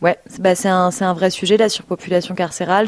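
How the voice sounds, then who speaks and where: At a moderate pace, a woman with an ordinary speaking voice talks at medium pitch with fairly even intonation in a very clean recording with a silent background. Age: 20s. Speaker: nonprofit worker. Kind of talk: radio interview.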